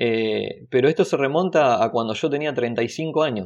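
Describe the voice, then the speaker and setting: At a medium pitch, a man speaks in a Rioplatense accent with ordinary pitch variation. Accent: Argentine Rioplatense Spanish. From Argentina, Bahía Blanca. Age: 30s. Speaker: carpenter. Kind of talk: interview. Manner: halting.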